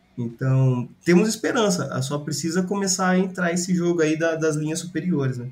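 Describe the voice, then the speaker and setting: At a moderate pace, a man talks in a high register with ordinary pitch variation. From Brazil, Ribeirão Preto. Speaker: sports podcast co-host. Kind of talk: casual chat.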